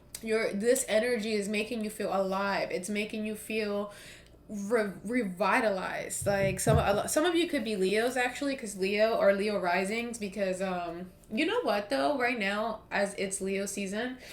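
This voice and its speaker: With an American accent, a woman speaks at a moderate pace and a fairly high pitch. Audible room echo and noticeable background noise fill the recording. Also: ordinary pitch variation. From US East Coast. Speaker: tarot reader. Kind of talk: tarot reading monologue. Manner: casual, filler-heavy.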